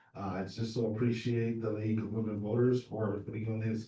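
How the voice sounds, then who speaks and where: A man of medium pitch speaks in a somewhat breathy voice with an American accent. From Southern California. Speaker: political candidate. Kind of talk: candidate forum speech. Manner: hesitant with many fillers.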